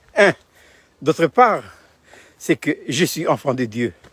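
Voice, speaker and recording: Recorded with a dry, close sound and no echo, a man speaks at a fairly slow pace. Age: 70s. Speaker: pastor. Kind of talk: video devotional talk. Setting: outdoors. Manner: halting.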